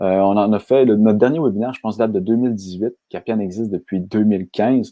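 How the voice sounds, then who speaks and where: A man talks with a Quebec accent. His pace is very fast. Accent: Québécois French. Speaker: software company founder. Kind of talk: webinar presentation. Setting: online webinar.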